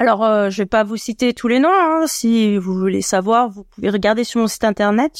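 An ordinary speaking voice from a woman, fairly high in pitch with ordinary pitch variation, in a very clean recording with a silent background and a dry, close sound with no echo. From France, Annecy (Haute-Savoie). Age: 40s. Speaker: dog trainer and mantrailing coach. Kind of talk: interview.

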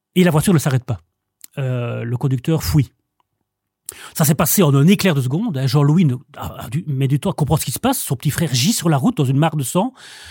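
Somewhat breathy and fairly high in pitch, a man with a dark, mellow tone speaks with lively intonation and long, frequent pauses in a dry, close sound with no echo. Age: 40s. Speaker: bookseller. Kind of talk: casual chat. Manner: halting.

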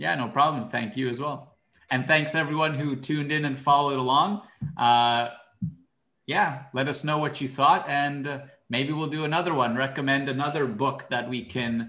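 Bright and sharp in tone, a man's fairly high voice moves at a moderate pace with ordinary pitch variation and audible room echo. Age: 20s. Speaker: podcast co-host in book discussion. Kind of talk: casual chat.

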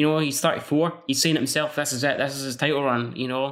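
A man at a fairly quick pace, with a Scottish accent, on a very clean recording with a silent background. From Scotland. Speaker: MMA podcast host. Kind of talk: solo podcast preview and predictions.

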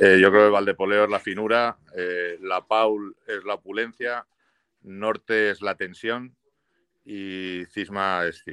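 A man's voice, bright and sharp in tone, with fairly even intonation. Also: dry, close sound with no echo. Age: 50s. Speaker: winemaker. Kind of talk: casual interview.

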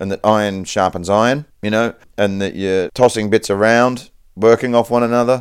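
Here a man speaks with an Australian accent at a medium pitch. His pace is moderate and his pitch variation ordinary. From Perth, Western Australia. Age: 40s. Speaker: stand-up comedian. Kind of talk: casual chat.

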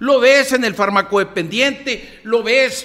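A man's extremely high, raised, projected voice at a very slow pace, with fairly even intonation. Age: 50s. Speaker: newspaper columnist. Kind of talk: casual interview conversation.

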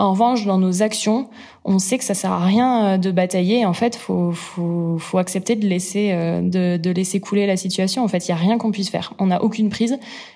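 This woman's voice has a dark, mellow tone and a moderate pace. The recording is very clean, with a silent background. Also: medium pitch for a woman, very even loudness. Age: 30s. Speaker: entrepreneur. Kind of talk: interview. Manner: hesitant, many fillers.

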